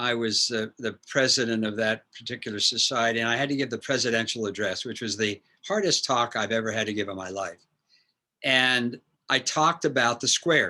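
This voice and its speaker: A man talks at a fairly quick pace in a medium pitch, with a bright, sharp tone and ordinary pitch variation. The recording is very clean, with a silent background. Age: 80s+. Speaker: neurosurgeon. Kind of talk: Q&A talk. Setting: lecture with audience.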